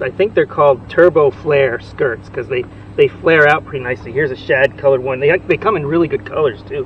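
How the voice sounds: A man speaks at a fairly high pitch with ordinary pitch variation. Faint background noise sits behind him.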